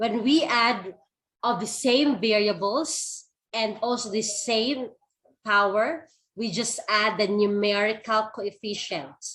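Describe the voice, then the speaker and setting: A fairly high-pitched woman at a very slow pace, with ordinary pitch variation. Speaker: math teacher. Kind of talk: online class lecture.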